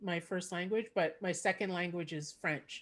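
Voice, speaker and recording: This is a woman speaking in a Montreal accent. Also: quiet background. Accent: Canadian English, Montreal. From Quebec, Montreal. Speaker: podcast host and comedian. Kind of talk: casual chat.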